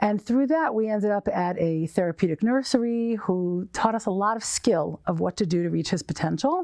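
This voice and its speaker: In an ordinary speaking voice, a woman with an American accent speaks at a moderate pace and medium pitch with lively intonation and hardly any pauses. The sound is dry and close with no echo. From US Northeast, New York. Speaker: nonprofit director. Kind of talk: interview.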